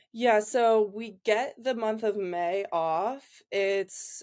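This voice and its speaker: The recording is very clean, with a silent background. A woman speaks with an American accent and fairly even intonation. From Ohio, Columbus. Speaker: college volleyball player. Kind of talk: interview.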